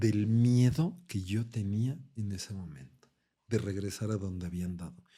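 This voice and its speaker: A man's somewhat breathy, dark, mellow voice at fairly low pitch, with lively intonation and a fairly slow pace. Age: 50s. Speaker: coach and coma survivor. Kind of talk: testimony.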